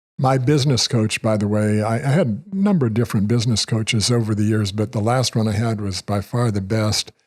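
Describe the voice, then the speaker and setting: A man with a US Midwestern accent talks at a fairly quick pace and medium pitch, with very even loudness and hardly any pauses, on a very clean recording with a silent background. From Kansas, Wichita. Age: 70s. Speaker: retired financial advisor. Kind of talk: casual interview.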